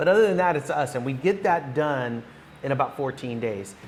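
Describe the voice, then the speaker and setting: Noticeable background noise sits behind a man with an American accent. He speaks at a very fast pace with ordinary pitch variation. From Northern California. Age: 50s. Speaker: real estate broker and ministry leader. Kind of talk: podcast interview. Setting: on location in Guatemala.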